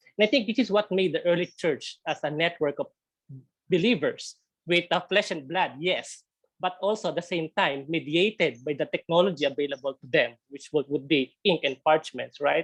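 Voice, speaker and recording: The speaker talks at a moderate pace with a Filipino accent. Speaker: theology speaker. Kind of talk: webinar presentation. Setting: video call. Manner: halting, frequent repetitions.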